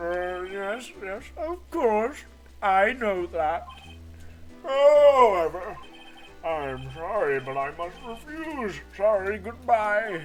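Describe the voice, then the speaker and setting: Putting on a character voice, a man speaks very slowly at a high pitch with very wide pitch swings while clear music plays in the background. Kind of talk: comic overacting. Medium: game stream. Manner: pompous, patronizing.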